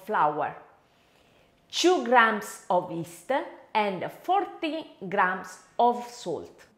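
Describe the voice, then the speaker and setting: A woman speaks very slowly in an Italian accent. Her voice is high, with very wide pitch swings. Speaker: home cooking video host. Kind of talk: cooking tutorial.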